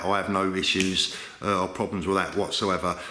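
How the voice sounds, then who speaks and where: A man with a London accent speaks at a moderate pace in a fairly low pitch. Noticeable background noise and audible room echo are present. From London, England. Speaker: watch dealer and video host. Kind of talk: vlog commentary.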